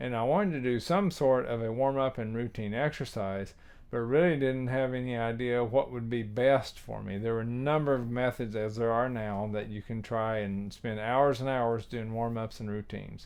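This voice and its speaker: A man with a plain, everyday voice keeps a medium pitch and fairly even intonation. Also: moderate pace. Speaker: tuba teacher. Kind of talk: tutorial.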